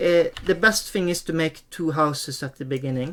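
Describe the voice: A man talks slowly at a fairly high pitch. His pitch variation is ordinary.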